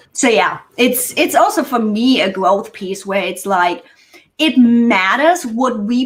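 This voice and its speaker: A woman with a German accent uses lively intonation in a fairly high pitch. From Germany. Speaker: productivity consultant. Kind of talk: casual chat.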